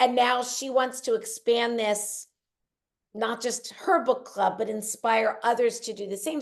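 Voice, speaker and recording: A woman's ordinary speaking voice at a fairly slow pace, fairly high in pitch with ordinary pitch variation. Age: 50s. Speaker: weight loss coach and author. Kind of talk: podcast interview.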